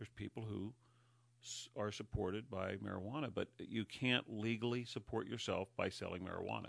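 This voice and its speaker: With an American accent and a plain, everyday voice, a man talks at a fairly quick pace with a fairly low pitch and fairly even intonation. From Northern California, Humboldt County. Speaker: county sheriff. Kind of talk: interview. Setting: studio.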